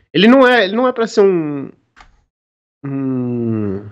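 Speaking very slowly, a man uses a fairly high pitch. His voice makes very wide pitch swings. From São Paulo, Brazil. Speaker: tabletop RPG designer. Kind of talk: casual chat.

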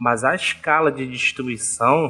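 A man speaks in an ordinary speaking voice, fairly high in pitch, with ordinary pitch variation. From Brazil, Rio de Janeiro. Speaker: geography teacher, podcast co-host. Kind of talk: casual discussion podcast.

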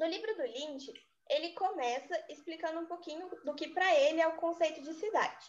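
A woman speaks at a moderate pace with ordinary pitch variation. Her pitch is extremely high. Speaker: architecture student. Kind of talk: student podcast presentation.

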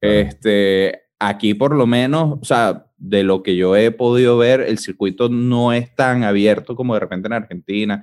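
In a Venezuelan accent, a man speaks at a fairly slow pace with hardly any pauses, a medium pitch and ordinary pitch variation. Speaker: podcast host. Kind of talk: casual chat.

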